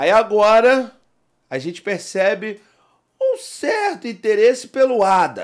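The man's pitch is high and his intonation lively. He talks at a very slow pace with long, frequent pauses over a quiet background. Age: 40s. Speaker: podcast host. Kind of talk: casual chat. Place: studio. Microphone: studio mic.

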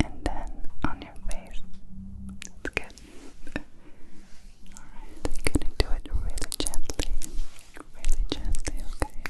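Whispering and soft-spoken, the voice moves at a very slow pace with long, frequent pauses. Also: woman. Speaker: ASMR creator. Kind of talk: soft ASMR roleplay talk. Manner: soft, intimate ASMR whisper. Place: home room. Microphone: studio mic.

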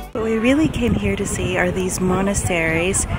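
Music plays in the background as a woman speaks, her voice dry with no echo. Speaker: travel vlogger. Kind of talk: casual vlog chat. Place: open country. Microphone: phone near.

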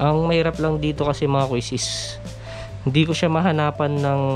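Clear music plays behind the speaker. He is a man talking at a moderate pace. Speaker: motovlogger reviewing cameras. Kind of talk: casual product review chat. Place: home room. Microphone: camera far.

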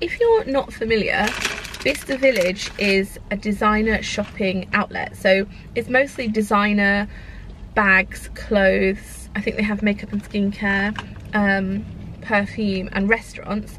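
In a dry recording with no echo and light background noise, a woman speaks at a fairly slow pace with fairly even intonation. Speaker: vlogger. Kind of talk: casual vlog chat. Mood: cheerful, playful. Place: car. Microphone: phone near.

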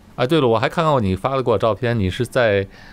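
Pitch varies in an ordinary way here. It is a plain, everyday voice. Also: man. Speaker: video host. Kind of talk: casual interview chat. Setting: remote recording over the internet.

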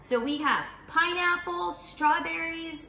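A woman speaks slowly in a high, bright, sharp voice with vocal fry and fairly even intonation. Audible room echo is present.

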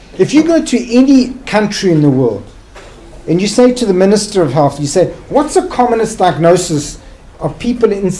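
Speaking at a moderate pace with a South African accent, a man uses a high voice with very wide pitch swings. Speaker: psychiatrist and hospital director; guest lecturer. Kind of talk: lecture. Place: hall.

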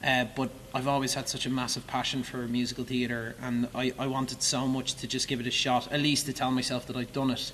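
Monotone, flat delivery from a medium-pitched man with an Irish accent, at a fairly quick pace. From Ireland. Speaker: musical theatre actor. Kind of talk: interview. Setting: theatre stage. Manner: halting.

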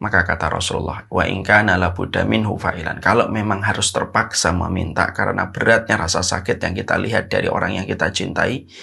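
With a very deep, low pitch, a man talks at a fairly quick pace with ordinary pitch variation. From Indonesia. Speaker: Islamic preacher; religious teacher. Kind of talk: religious lecture. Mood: earnest, calm, gentle. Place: home room. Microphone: lapel.

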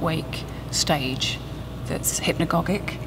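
Noticeable background noise sits behind this woman as she talks. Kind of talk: interview answer. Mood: reflective, slightly emotional.

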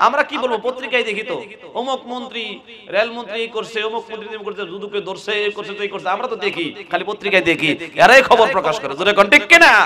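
A shouting man's high, raised, projected voice, animated in tone, with big swings in loudness, ordinary pitch variation, and noticeable background noise. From Bangladesh, Narsingdi; Bangladesh. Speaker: Islamic preacher. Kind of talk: sermon. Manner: loud, shouting. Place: stage. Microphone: podium.

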